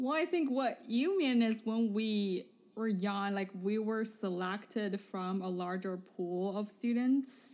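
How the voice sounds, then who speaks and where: With a Mandarin accent, the speaker talks at a very slow pace with hardly any pauses and ordinary pitch variation. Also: woman, fairly high pitch for a woman. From Beijing, China. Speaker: podcast host. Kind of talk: casual conversational chat.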